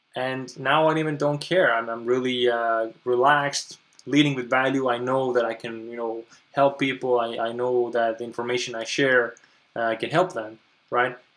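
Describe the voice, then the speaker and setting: Fairly even intonation marks this man speaking with a non-native accent. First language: not English. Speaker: online business coach. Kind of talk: webinar presentation. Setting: live webinar stream. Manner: halting, many repetitions and fillers.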